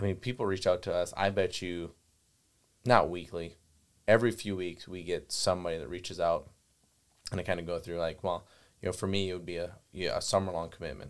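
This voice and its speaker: With a Wisconsin accent, a man talks at a fairly quick pace in a very deep, low pitch with fairly even intonation, leaving long, frequent pauses. The recording is very clean, with a silent background. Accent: Upper Midwest (Wisconsin) US. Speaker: gun dog trainer and kennel owner. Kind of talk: podcast conversation. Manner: filler-heavy, repetitive phrasing.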